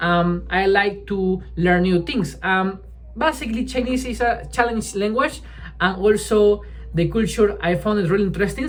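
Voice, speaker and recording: A man's voice, high for him, moderate in pace, with ordinary pitch variation. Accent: Spanish. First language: Spanish. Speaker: language learner vlogger. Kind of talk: casual vlog monologue. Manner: halting, with fillers and restarts.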